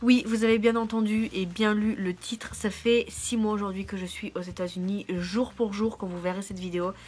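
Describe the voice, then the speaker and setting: Over noticeable background noise, a woman speaks at a moderate pace. Her medium pitch follows fairly even intonation. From France. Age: 20s. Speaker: au pair vlogger. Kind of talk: casual vlog.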